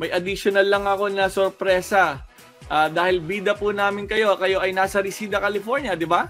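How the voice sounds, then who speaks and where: Over music in the background, a raised, projected voice carries along at a moderate pace. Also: man. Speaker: TV host. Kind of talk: casual video call interview host.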